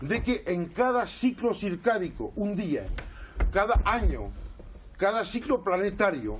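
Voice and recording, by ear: In a high pitch, a man speaks at a fairly slow pace with big pitch swings.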